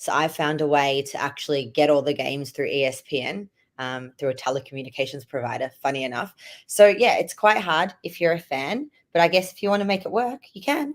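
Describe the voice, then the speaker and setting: A woman with an Australian accent talks at a fairly quick pace. Her pitch is very deep and low, and her intonation is lively. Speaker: hockey fan guest. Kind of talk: casual interview.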